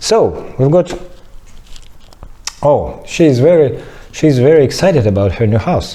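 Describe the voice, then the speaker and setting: Amid noticeable background noise and audible room echo, a man speaks at a fairly slow pace with long, frequent pauses. His loudness stays very even. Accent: non-native. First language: not English. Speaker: clay modelling teacher. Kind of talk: tutorial. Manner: halting.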